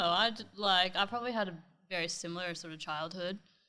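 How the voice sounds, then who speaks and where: A woman with a slight Canadian accent and a bright, sharp tone speaks at a moderate pace with lively intonation, on a very clean recording with a silent background. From Canada, near Toronto, Ontario. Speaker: interior designer. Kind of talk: casual interview chat.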